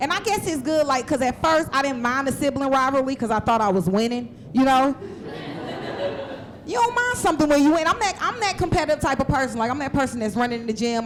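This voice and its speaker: Very fast speech in an Atlanta accent, lively intonation, noticeable background noise. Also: woman. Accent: Southern US, Atlanta. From US South, Atlanta. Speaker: stand-up comedian. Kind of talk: stand-up. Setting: stage with audience.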